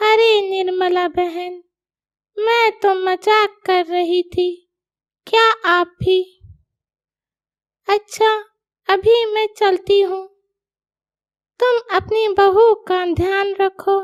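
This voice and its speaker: A woman does a cartoonish character voice at an extremely high pitch, monotone and flat. She goes very slowly with long, frequent pauses, and the sound is dry and close with no echo. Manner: chatty, prying.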